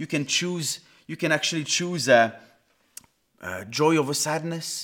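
A man with a Swiss French accent at a fairly slow pace, on a very clean recording with a silent background. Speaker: pastor. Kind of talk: sermon.

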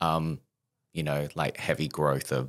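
A man with an Australian accent speaks at a fairly slow pace in a very deep, low voice with vocal fry and a monotone, flat delivery. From Australia, Perth. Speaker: podcast guest. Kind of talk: casual chat. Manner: humorous deadpan delivery.

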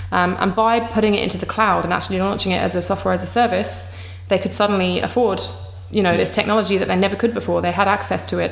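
Noticeable background noise fills the clip. A woman talks very fast over it. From England. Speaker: startup co-founder. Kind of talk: interview.

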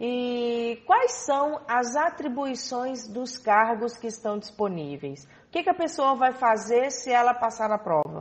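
A woman's high voice with lively intonation, at a very slow pace with hardly any pauses. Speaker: radio host. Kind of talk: radio interview.

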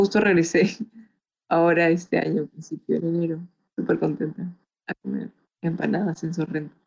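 Her voice carries vocal fry and a fairly low pitch as the woman talks at a moderate pace with fairly even intonation and long, frequent pauses. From Peru, Chiclayo. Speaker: film art producer and beauty queen. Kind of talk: interview.

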